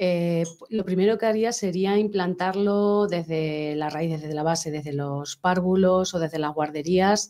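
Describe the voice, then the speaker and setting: Her voice has a dark, mellow tone and a fairly low pitch for a woman, with ordinary pitch variation. She speaks fairly slowly and hardly pauses. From Spain, Tomelloso (Castilla-La Mancha); Castilla-La Mancha, Spain. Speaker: sculptor; guest. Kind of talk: interview. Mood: calm, heartfelt. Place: studio. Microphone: studio mic.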